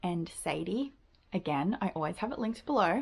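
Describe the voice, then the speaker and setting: With an Australian accent, a woman speaks at a moderate pace and medium pitch, using lively intonation and vocal fry. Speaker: book video creator. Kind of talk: casual vlog monologue. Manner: chatty, casual with fillers.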